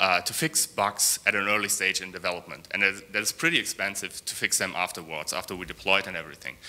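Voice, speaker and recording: A man with a bright, sharp tone. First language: not English. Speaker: software developer. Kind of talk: conference talk. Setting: stage with audience. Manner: halting, many fillers and repeats.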